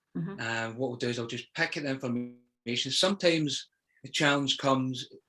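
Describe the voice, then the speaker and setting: A man's fairly quick voice in a Scottish accent, medium-pitched with ordinary pitch variation and a bright, sharp tone. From Scotland. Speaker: poet. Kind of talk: interview answer. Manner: hesitant, conversational.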